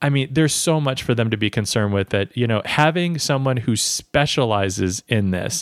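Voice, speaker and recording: This is an ordinary speaking voice with an American accent, moving at a fairly quick pace with ordinary pitch variation. The sound is dry and close, with no echo. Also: man, very clean recording, silent background. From US Midwest. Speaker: podcast host. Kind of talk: interview.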